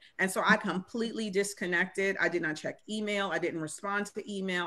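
Speaking with an American accent, a woman delivers her words at a moderate pace and medium pitch in a bright, sharp tone with fairly even intonation. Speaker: school superintendent. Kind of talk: casual chat. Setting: video call.

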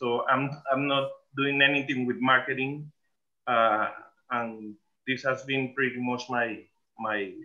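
Over a quiet background, a man with a Spanish accent talks at a fairly slow pace. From Panama. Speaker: musician. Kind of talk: casual chat. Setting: video call. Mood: relaxed, reminiscing. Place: home room. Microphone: video call.

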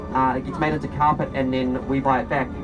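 Speech moves at a fairly quick pace, with clear music playing in the background. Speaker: tour bus guide. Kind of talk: tour guide commentary. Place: bus.

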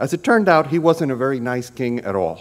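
A man is speaking. He keeps a moderate pace. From Cuban-American. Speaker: lawyer. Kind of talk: storytelling presentation. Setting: conference panel with audience. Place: hall. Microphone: podium.

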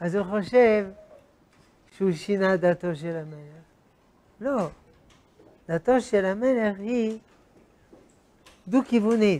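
The speaker talks at a very slow pace with long, frequent pauses. Pitch variation is ordinary. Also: man, high pitch for a man. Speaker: religious teacher. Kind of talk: lecture. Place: hall. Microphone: lapel.

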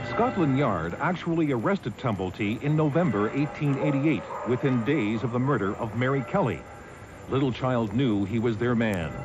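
A man speaks in a dramatic tone with lively intonation. Noticeable background noise runs underneath. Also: medium pitch for a man, moderate pace, very even loudness. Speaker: news reporter. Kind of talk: true-crime documentary news narration, scripted and dramatic. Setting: voiceover over footage. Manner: grave, measured, dramatic storytelling delivery; formal, crisp news-reporter cadence.

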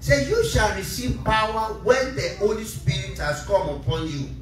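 With audible room echo and light background noise, a man speaks at a fairly slow pace. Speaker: preacher. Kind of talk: sermon. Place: church.

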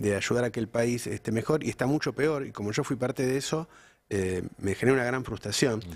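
A man in a Rioplatense accent at a fairly quick pace, with ordinary pitch variation. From Argentina. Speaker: news channel host. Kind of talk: live political interview. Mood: reflective, frustrated in places. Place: studio. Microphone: studio mic.

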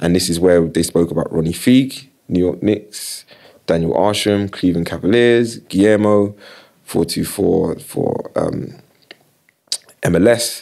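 A man's very deep, low voice in a South London accent, very slow with long, frequent pauses and ordinary pitch variation, over a quiet background. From South London, Battersea. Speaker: creative director and sports marketing agency founder. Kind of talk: casual interview chat. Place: studio. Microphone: studio mic.

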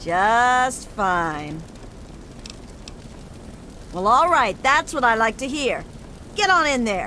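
In a put-on character voice, a woman talks slowly at a fairly high pitch, her bright, sharp tone moving in big pitch swings between long, frequent pauses.

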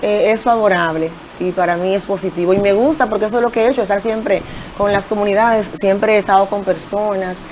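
Light background noise sits behind this woman. She talks very fast, her intonation fairly even. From Dominican Republic, Santiago (Jacagua); Dominican Republic. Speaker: local political candidate; candidate. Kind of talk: TV interview. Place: studio. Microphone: lapel.

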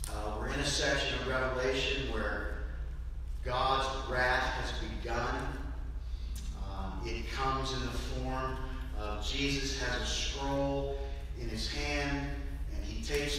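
A man speaks very slowly in a very deep, low, monotone voice, leaving long, frequent pauses. The room echoes strongly, and there is light background noise. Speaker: pastor. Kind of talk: sermon. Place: church. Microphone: camera far.

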